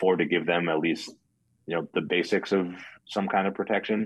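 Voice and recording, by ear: At a fairly quick pace, a man speaks with a low pitch and ordinary pitch variation.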